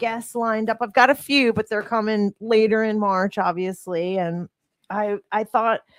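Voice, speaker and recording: A woman's normal speaking voice with an American accent, fairly high in pitch, at a moderate pace, in dry, close sound with no echo. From US Northeast, Cherry Hill, New Jersey (Philadelphia suburbs). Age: 50s. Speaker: fitness coach and podcast host. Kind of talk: casual chat. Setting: studio.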